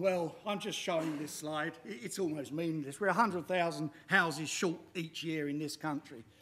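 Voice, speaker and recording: High pitch for a man, moderate pace and ordinary pitch variation. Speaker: machinery designer and inventor. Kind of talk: pitch talk. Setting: stage with audience. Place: hall.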